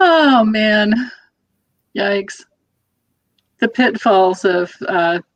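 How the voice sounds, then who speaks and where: A woman speaks at a very slow pace with a fairly high pitch. Her pitch varies in an ordinary way, and she takes long, frequent pauses. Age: 60s. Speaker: tarot reader livestream panelist. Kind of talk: casual chat. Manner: halting.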